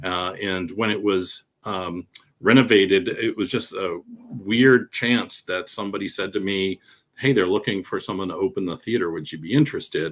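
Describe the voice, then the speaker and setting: This man's pitch runs fairly low, with ordinary variation. He talks at a moderate pace. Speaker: theater manager. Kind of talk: interview presentation. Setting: video call. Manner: halting.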